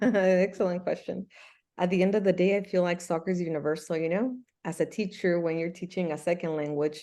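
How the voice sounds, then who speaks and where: At a fairly quick pace, a woman with a Spanish accent talks in a fairly low pitch. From Mexico (Michoacán), moved to US at about 8. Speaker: soccer coach and Spanish teacher. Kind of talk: interview. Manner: animated.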